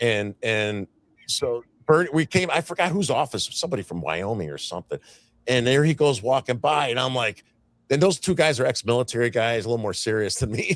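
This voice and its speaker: A man's medium-pitched voice with an American accent, fairly quick, with very wide pitch swings and a dry, close sound with no echo. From Chicago. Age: 60s. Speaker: activist guest. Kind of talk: podcast interview. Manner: halting, repetitive.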